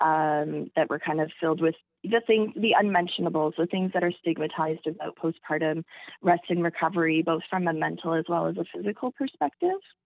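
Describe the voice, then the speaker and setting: Using a plain, everyday voice, a woman speaks at a fairly quick pace with a fairly low pitch and ordinary pitch variation. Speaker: listener and fan of the show.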